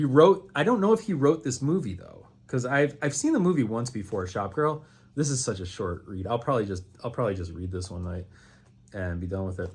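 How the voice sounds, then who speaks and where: Animated and somewhat breathy, a man with a medium pitch talks at a fairly quick pace with very wide pitch swings, on a very clean recording with a silent background. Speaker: booktuber. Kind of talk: casual chat. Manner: fast.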